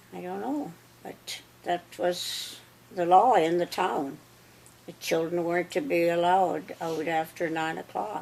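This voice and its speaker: A woman's fairly low voice in a Canadian Prairie accent, with lively intonation at a fairly slow pace. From Saskatchewan, Canada. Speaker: interviewee. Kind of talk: life story interview. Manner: halting.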